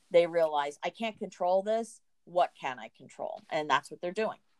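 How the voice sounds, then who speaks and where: Lively intonation marks this woman's ordinary speaking voice, with an American accent. Her pace is moderate. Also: dry, close sound with no echo. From US. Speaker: college counselor. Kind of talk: interview.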